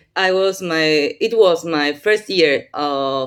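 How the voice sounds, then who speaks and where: A woman speaks with a non-native accent at a fairly low pitch. The recording is very clean, with a silent background. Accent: non-native English speaker. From Argentina, Buenos Aires. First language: Spanish. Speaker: playwright and university professor. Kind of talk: workshop talk. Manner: halting.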